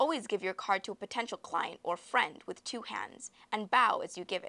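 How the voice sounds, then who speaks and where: A woman speaks at a moderate pace with a bright, sharp tone and a fairly high pitch. Her intonation is lively, and the sound is dry and close with no echo. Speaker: student presenter. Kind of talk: scripted narration.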